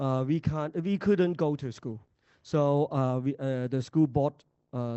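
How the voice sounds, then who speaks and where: This man's voice sits fairly high in pitch. His pitch variation is ordinary. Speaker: school principal. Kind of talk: conference presentation. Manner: halting, many fillers.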